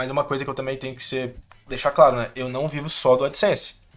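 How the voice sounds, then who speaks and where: In a normal speaking voice, a man talks at a fairly high pitch. His pace is fairly quick. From Minas Gerais, Brazil (interior). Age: 20s. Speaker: video editor. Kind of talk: casual interview chat.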